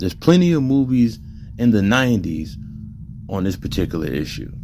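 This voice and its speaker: Music plays in the background as a man talks at a moderate pace, with audible room echo. His fairly low pitch makes very wide swings. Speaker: commentary video creator. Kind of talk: reading an article aloud with commentary. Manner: casual, conversational.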